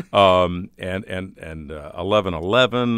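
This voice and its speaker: With an American accent, a man speaks fairly slowly in a very deep, low pitch and ordinary pitch variation. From Chicago area, Illinois. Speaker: radio host. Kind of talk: casual interview chat.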